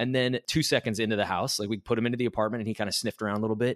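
A man's medium-pitched voice with ordinary pitch variation, in a dry, close sound with no echo. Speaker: podcast co-host. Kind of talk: casual chat and interview. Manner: playful, jokey.

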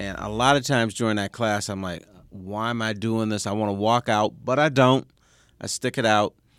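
A man's fairly low voice with a Detroit accent, at a moderate pace and with fairly even intonation, in a dry, close recording with no echo, very clean against a silent background. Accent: Detroit American English. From Detroit, US Midwest. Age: 60s. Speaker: sports columnist and radio host. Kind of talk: casual interview.

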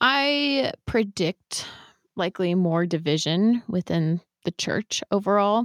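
Speaking very slowly with lively intonation, a woman with an American accent talks at a medium pitch in a dry, close sound with no echo. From US West Coast, San Francisco Bay Area. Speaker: podcast host. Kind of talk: interview conversation.

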